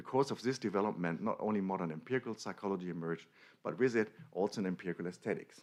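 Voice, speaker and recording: This man talks at a very fast pace. His pitch sits fairly low. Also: ordinary pitch variation. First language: German. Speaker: academic lecturer. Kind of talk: conference lecture. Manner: halting.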